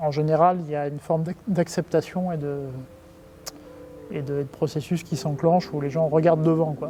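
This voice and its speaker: A man's fairly high voice, monotone and flat, at a moderate pace with long, frequent pauses over noticeable background noise. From France. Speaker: company executive. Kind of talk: interview. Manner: hesitant, many fillers and repetitions; casual.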